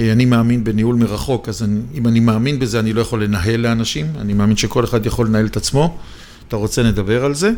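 A man's medium-pitched, dark, mellow voice at a fairly quick pace with ordinary pitch variation. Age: 60s. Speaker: real estate investment expert. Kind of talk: interview debate.

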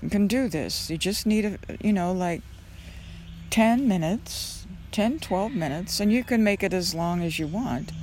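Somewhat breathy and medium in pitch, a woman's voice carries lively intonation. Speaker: meditation teacher. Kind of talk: guided meditation. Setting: outdoors. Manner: slow, soft, calming.

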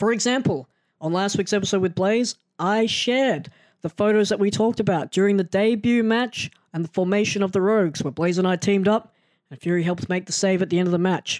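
Talking at a fairly quick pace with an Australian accent, a high-pitched man shows ordinary pitch variation in a dry, close sound with no echo. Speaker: podcast host. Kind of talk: casual interview chat.

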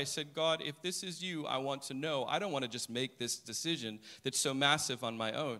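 Very clean and set against a silent background, the recording holds a man with an American accent and a fairly high pitch, his tone bright and sharp. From United States. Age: 40s. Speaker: preacher. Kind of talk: sermon.

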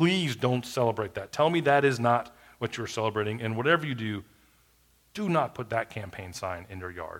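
A man with a plain, everyday voice talks at a moderate pace in a medium pitch, his intonation lively and his loudness swinging widely. The recording is very clean, with a silent background. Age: 40s. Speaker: pastor. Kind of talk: sermon.

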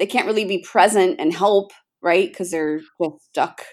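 A woman is speaking. Her pace is fairly slow. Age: 60s. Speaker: podcast host. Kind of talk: casual chat, interview.

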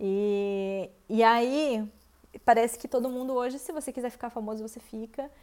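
This is an ordinary speaking voice, moving at a moderate pace with ordinary pitch variation. Its loudness swings widely. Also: woman, fairly high pitch for a woman. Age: 30s. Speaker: podcast host, vegan content creator. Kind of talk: solo monologue podcast. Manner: casual, conversational.

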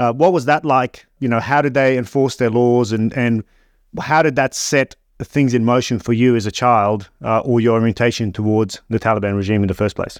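An unremarkable speaking voice from a man at medium pitch, with ordinary pitch variation, a moderate pace, a quiet background and a dry, close sound with no echo. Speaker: podcast host. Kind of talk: casual interview.

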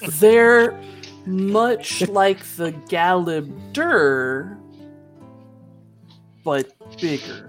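Using a put-on character voice, a woman talks at a very slow pace with long, frequent pauses while faint music plays in the background. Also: fairly low pitch for a woman. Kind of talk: game master character voice. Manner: slow, bemused, unhurried.

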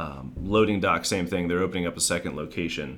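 A man speaks with a very deep, low pitch, vocal fry and an American accent. Room echo is audible. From Maryland. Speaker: commercial real estate developer. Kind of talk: interview.

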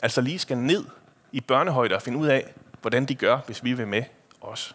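The man speaks at a moderate pace. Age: 30s. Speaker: preacher. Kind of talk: sermon. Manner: casual, hesitant with fillers.

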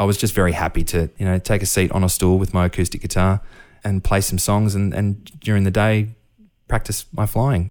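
A man speaks quickly at a fairly low pitch, with fairly even intonation and very even loudness. The recording is very clean, the background silent. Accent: Australian. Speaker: professional musician. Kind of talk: interview.

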